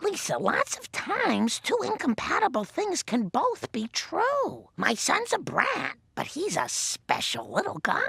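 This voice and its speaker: A cartoonish character voice at an extremely high pitch, delivered at a fairly slow pace. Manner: gentle, warm.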